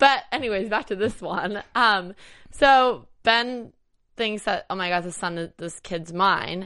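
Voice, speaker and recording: Bright and sharp with a bubbly tone, a woman speaks at a fairly slow pace and a medium pitch, with ordinary pitch variation and big swings in loudness. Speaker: after-show host. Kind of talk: casual chat. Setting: studio. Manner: bubbly, laughs often.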